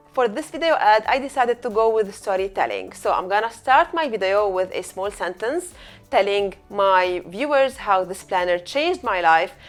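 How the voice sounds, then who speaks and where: A woman with a medium pitch speaks at a moderate pace with lively intonation. Music plays in the background. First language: not English. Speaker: eCommerce coach. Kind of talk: tutorial.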